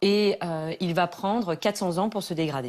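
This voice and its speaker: Here a woman speaks at a medium pitch with ordinary pitch variation and a moderate pace. The recording is very clean, with a silent background. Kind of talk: explanatory, presenting.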